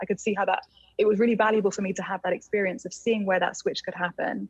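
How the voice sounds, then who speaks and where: A woman's medium-pitched, somewhat breathy voice at a very fast pace, in monotone, flat intonation. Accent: English. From England. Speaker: plant medicine guide. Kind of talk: casual chat.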